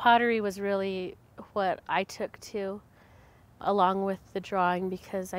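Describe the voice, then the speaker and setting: In a monotone, flat delivery, a woman speaks at a medium pitch and a moderate pace. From Santa Clara Pueblo, New Mexico. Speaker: college student, potter and artist. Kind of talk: interview testimonial.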